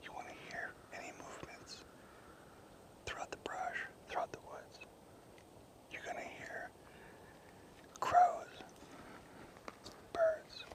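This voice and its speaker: Very slowly and with long, frequent pauses, someone whispers against noticeable background noise. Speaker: hunting vlogger. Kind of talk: outdoor tutorial. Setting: outdoors in the woods. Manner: whispering, low volume.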